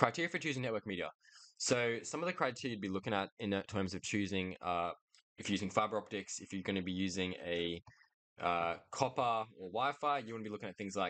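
A man talks at a very fast pace, his fairly low pitch carrying a bright, sharp tone. Pitch variation is ordinary, and the background is quiet. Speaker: lecturer. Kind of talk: lecture. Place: home room. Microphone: studio mic.

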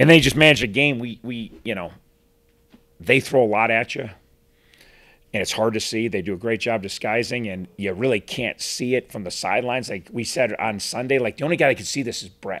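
At a moderate pace, a man speaks at a medium pitch with a fairly bright tone and ordinary pitch variation.

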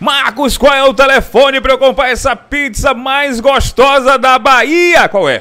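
Over a quiet background, a man with an extremely high pitch talks at a fairly slow pace, with fairly even intonation and hardly any pauses. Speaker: promotional presenter. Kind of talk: street-pitchman style sales pitch. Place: cafe. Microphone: handheld.

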